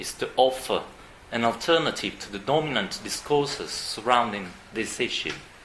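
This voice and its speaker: The speaker has a non-native accent. The recording carries audible room echo and noticeable background noise. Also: man. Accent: non-native English pronunciation. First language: Italian. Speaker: psychiatrist. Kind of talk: conference talk read aloud. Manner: formal.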